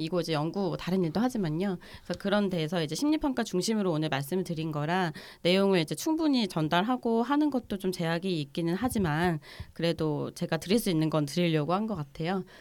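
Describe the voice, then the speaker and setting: A woman speaks in a normal speaking voice, fairly low in pitch, at a fairly quick pace with lively intonation. The recording is very clean, with a silent background. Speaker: clinical psychologist. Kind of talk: casual chat, explaining.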